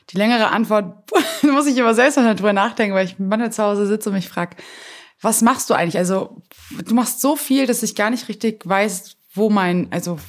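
A woman's unremarkable speaking voice, fairly high in pitch, at a moderate pace with ordinary pitch variation. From Germany, Hamburg. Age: 20s. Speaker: evangelist and entrepreneur. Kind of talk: interview.

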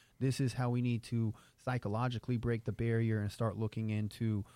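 A man's dark, mellow voice at medium pitch, monotone and flat in intonation, at a fairly quick pace, on a very clean recording with a silent background. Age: 30s. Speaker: sports performance coach. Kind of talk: casual chat.

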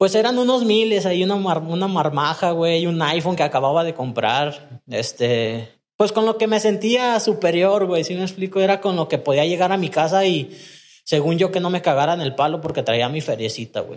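High pitch and lively intonation from a man. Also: moderate pace. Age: 30s. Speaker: recovering addict. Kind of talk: personal testimony in casual interview.

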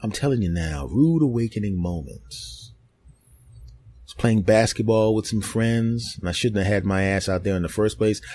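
A man's animated, fairly low voice with a Philadelphia accent, at a moderate pace with hardly any pauses, ordinary pitch variation and big swings in loudness. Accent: Philadelphia American. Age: 40s. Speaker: podcast host and comedian. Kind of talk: casual monologue.

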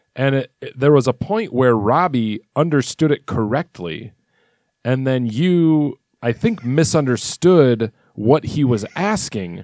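A man's medium-pitched voice, a plain, everyday voice, with lively intonation and a fairly slow pace, in a dry, close sound with no echo on a very clean recording with a silent background. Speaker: podcast co-host. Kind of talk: casual banter podcast chat.

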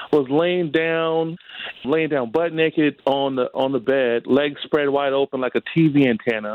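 A man speaks at a fairly slow pace with lively intonation. He has a normal speaking voice. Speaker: friend of host, phone guest. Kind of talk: casual chat. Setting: phone call. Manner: slang-heavy, excitable.

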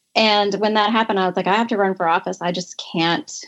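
Using an ordinary speaking voice with an American accent, a woman talks at a fairly quick pace at a medium pitch with fairly even intonation. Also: quiet background. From North Carolina, US South. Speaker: state legislator. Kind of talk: interview.

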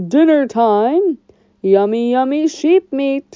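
Bellowing in a put-on character voice, a woman speaks at a high pitch and a very slow pace. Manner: bellowing, gleeful.

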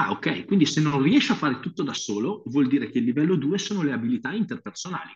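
Against a quiet background, a man with a fairly high pitch and an animated tone races at a very fast pace with hardly any pauses, his voice somewhat breathy and his pitch swinging very widely. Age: 40s. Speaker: strength coach and physiotherapist. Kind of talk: interview.

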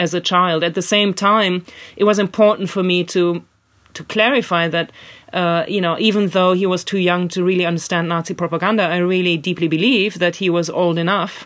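In a German accent, the speaker talks at a moderate pace on a very clean recording with a silent background. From Germany. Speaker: author and illustrator. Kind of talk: interview. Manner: halting.

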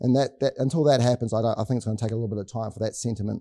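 A man with a New Zealand accent speaks at a medium pitch with ordinary pitch variation. His voice has a dark, mellow tone. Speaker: company executive. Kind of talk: business presentation. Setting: stage with audience. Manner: hesitant with frequent fillers.

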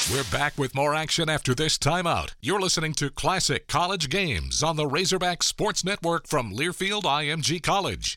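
A man with a fairly high, bright, sharp voice and some vocal fry talks at a moderate pace with hardly any pauses, very even loudness and ordinary pitch variation, in a very clean recording with a silent background. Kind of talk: radio broadcast announcer intro and bumper. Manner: polished, crisp, formal announcer delivery.

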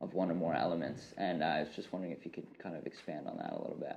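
With a Canadian accent, a man talks using vocal fry. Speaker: podcast host. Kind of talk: casual interview.

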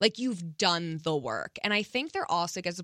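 Speaking at a fairly quick pace with lively intonation, a woman with a fairly low pitch and a bright, sharp tone comes through in a dry, close sound with no echo. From US East Coast. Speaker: podcast host. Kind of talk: casual chat. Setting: studio.

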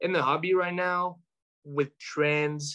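A man's bright, sharp voice in a French accent at a very slow pace. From France. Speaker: sports card collector. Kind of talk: casual chat. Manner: hesitant, many fillers.

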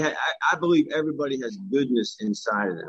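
A man with an unremarkable speaking voice, lively intonation and a fairly quick pace. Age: 50s. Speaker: life coach and podcaster. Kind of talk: casual chat.

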